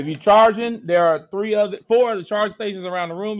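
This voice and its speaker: A man with an American accent speaks at a very fast pace and a high pitch. His tone is animated. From South Central Los Angeles, California; California. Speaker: high school history teacher. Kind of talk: classroom lecture. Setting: classroom. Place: classroom.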